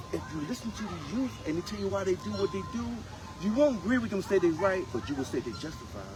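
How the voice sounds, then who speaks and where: Music runs behind a man talking at a very fast pace. His fairly high voice makes very wide pitch swings. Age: 70s. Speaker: former prisoner telling life story. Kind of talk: casual interview.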